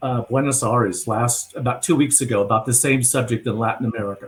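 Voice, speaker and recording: At a fairly quick pace, a man talks with fairly even intonation. His medium-pitched voice is somewhat breathy. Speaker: narrative and influence strategist. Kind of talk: video call planning discussion. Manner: fast.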